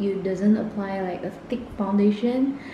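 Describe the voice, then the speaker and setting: Amid noticeable background noise, a woman speaks at a very slow pace. Her pitch is fairly high and her intonation fairly even. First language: not English. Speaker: beauty vlogger. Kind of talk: makeup review talk to camera.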